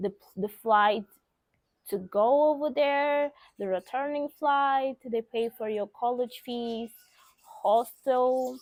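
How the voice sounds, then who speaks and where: On a very clean recording with a silent background, a woman with a Portuguese accent speaks very slowly at a high pitch, leaving long, frequent pauses. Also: ordinary pitch variation, dry, close sound with no echo. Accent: Portuguese-speaker. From Mozambique. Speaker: vlogger. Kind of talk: casual vlog talk.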